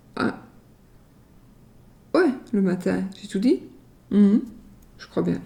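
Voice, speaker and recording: A woman speaks at a very slow pace. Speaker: tarot card reader. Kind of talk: tarot reading video. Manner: casual, halting.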